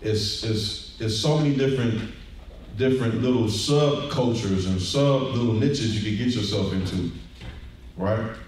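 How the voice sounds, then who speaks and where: Strong room echo surrounds a man at a medium pitch. He speaks at a moderate pace with ordinary pitch variation. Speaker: deacon teaching a scripture lesson. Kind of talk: sermon-style bible lesson. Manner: conversational, encouraging. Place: church.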